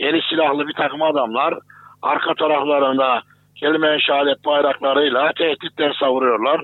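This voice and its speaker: A man delivers his words at a moderate pace and a fairly high pitch, with monotone, flat intonation and very even loudness. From Turkey, Kayseri. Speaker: Islamic theologian. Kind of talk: interview.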